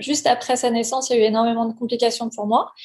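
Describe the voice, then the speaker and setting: A woman talks at a moderate pace, her pitch high. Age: 40s. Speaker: parent giving testimony. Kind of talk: testimony. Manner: halting.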